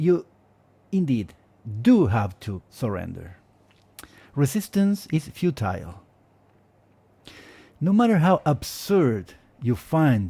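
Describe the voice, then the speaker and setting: Speech with a dark, mellow tone comes at a very slow pace, somewhat breathy, with very wide pitch swings and long, frequent pauses. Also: man, fairly high pitch for a man, very clean recording, silent background. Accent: Spanish. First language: Spanish. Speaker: Spanish teacher and linguist. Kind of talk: casual advice monologue. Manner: hesitant, with fillers and repetitions.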